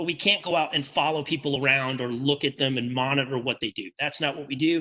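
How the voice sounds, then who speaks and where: A man's bright, sharp-toned voice at a moderate pace over a quiet background. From New England. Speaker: tech company sales representative. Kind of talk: webinar presentation. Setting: online webinar. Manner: casual, filler-heavy (um, uh, repetitions).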